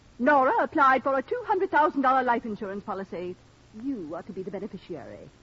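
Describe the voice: Using a put-on character voice, a woman talks fast at a fairly high pitch, with big pitch swings, a fairly bright tone and a slightly husky edge.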